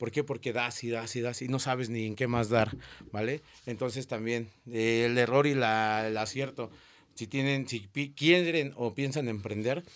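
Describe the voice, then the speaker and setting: On a very clean recording with a silent background, a man talks at a medium pitch and moderate pace, his intonation fairly even. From Mexico, Cana neighborhood (north). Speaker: TikToker and street sweeper. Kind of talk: casual interview.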